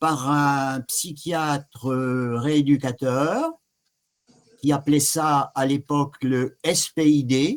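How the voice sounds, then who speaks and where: Words arrive at a very slow pace. Intonation is fairly even throughout. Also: man. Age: 70s. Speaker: patient giving testimony. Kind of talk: testimony. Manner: halting.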